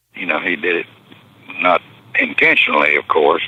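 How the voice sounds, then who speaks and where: There is noticeable background noise. A man speaks with a Southern US accent. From Texas and Arkansas. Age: 80s+. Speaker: retired pro football player. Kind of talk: interview storytelling.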